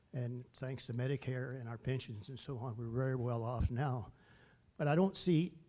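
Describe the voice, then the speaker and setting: The speaker keeps a moderate pace. The tone is dark, mellow and somewhat breathy. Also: man. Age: 80s+. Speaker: audience member, retired IT worker. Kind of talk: audience question. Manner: halting, many fillers.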